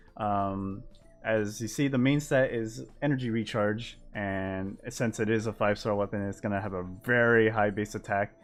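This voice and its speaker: The speech moves at a moderate pace. Music can be heard in the background. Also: man, fairly low pitch for a man. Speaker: gaming content creator. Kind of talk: game patch notes overview. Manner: mumbling.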